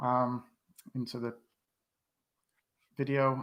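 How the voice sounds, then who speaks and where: A man with a West Country accent talks at a fairly slow pace and medium pitch. The recording is very clean, with a silent background. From West Country, England (Bristol). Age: 40s. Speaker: YouTube fan channel host. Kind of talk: live stream quiz chat. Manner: hesitant, many fillers.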